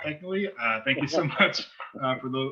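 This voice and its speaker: A man talks in a plain, everyday voice. His pitch is medium, with ordinary pitch variation. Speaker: interviewer. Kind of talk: interview host talk.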